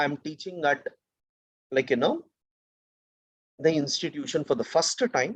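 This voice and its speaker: A man with a South Indian accent speaks in a fairly high pitch. His intonation is lively. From South India, Karnataka. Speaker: teacher. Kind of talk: lecture. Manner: slow.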